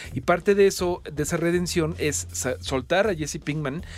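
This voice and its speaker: This is a man with a normal speaking voice, fairly high in pitch. His pitch varies in an ordinary way. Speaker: radio host. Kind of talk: casual chat. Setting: studio.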